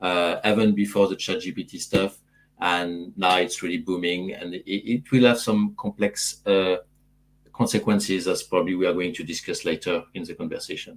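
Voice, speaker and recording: In a very clean recording with a silent background, a man with a French accent speaks at a moderate pace and fairly low pitch, keeping fairly even intonation while his loudness swings widely. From France. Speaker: AI consultant. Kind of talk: panel discussion. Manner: halting with many fillers.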